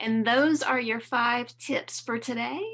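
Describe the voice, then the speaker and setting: A woman speaks with a Southern US accent. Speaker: learning designer presenting software training. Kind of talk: conference webinar tutorial.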